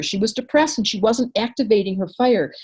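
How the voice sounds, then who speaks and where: A woman's somewhat breathy, fairly high-pitched voice at a moderate pace, with ordinary pitch variation. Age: 60s. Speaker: astrologer and psychologist. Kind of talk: interview. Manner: animated.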